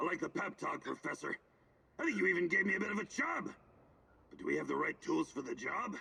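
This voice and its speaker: A man puts on a character voice. He talks very fast but leaves long, frequent pauses. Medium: video game. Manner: flamboyant, cocky.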